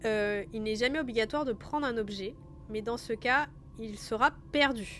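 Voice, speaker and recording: A woman with a fairly high pitch and ordinary pitch variation speaks at a fairly slow pace. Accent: southern French. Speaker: game master and streamer. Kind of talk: reading aloud rules of a gamebook on a live stream. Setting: live stream with background music.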